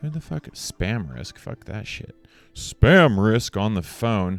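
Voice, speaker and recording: Soft-spoken yet intense, a man with a fairly low pitch talks fairly slowly with lively intonation. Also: very clean recording, silent background. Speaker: motivational speaker. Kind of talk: motivational speech to camera. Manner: shifts between intense and soft, varied speeds.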